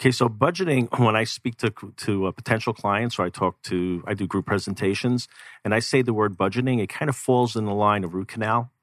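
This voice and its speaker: Here is a man with a plain, everyday voice, fairly low in pitch, with ordinary pitch variation and a fairly quick pace. The recording is very clean and dry, close, with no echo and a silent background. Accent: American. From New York City. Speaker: financial coach. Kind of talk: radio interview. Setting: studio.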